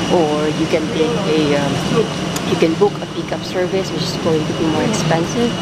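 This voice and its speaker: The voice moves at a moderate pace in a dry sound with no echo, over loud background noise. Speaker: solo traveler vlogger. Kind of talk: casual vlog chat. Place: street. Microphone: phone near.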